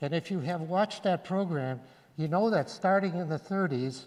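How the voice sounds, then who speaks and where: His pitch sits high for a man, and it rises and falls in an ordinary way. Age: 80s+. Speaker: retired teacher, public commenter. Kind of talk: public comment at school board meeting. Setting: school auditorium board meeting.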